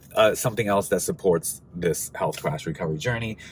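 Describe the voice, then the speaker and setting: A man with a fairly low pitch, speaking at a moderate pace. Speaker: video blogger. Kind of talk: casual vlog talk to camera. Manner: hesitant, many fillers.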